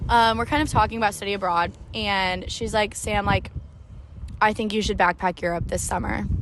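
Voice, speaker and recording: With a Midwestern accent, a woman of medium pitch speaks at a fairly quick pace. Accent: American Midwestern. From US Midwest, Springfield Illinois. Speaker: podcaster, travel vlogger. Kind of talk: casual monologue storytelling. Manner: fast, animated.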